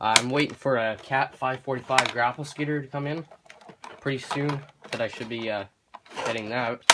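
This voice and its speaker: Over noticeable background noise, a man with a medium-pitched voice talks at a fairly quick pace with fairly even intonation. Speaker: hobbyist YouTuber, model collector. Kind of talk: unboxing video. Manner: halting, many fillers.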